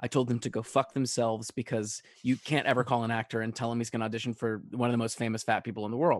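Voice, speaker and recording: In an American accent, the speaker goes at a very fast pace, with a quiet background and a dry, close sound with no echo. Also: man, medium pitch for a man, hardly any pauses. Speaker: singer-songwriter and stage actor. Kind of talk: casual chat. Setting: remote call. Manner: animated.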